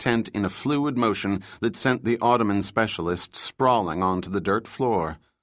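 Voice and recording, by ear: Natural-voiced reading aloud with ordinary shifts in pitch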